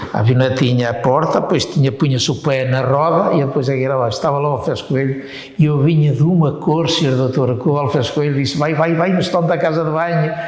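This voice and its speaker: Over noticeable background noise and audible room echo, a man with a fairly high pitch speaks at a fairly quick pace with hardly any pauses, very even loudness and fairly even intonation. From northern Portugal, Paços de Ferreira. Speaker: war veteran. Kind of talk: oral history interview. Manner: halting.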